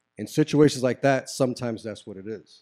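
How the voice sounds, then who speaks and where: A man's voice carries a dark, mellow tone as he rattles along very fast. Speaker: podcast host. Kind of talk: casual interview chat.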